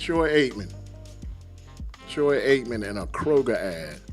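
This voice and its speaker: A man speaks with music playing in the background. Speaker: sports comedy host. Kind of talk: casual talk to camera. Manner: humorous, animated.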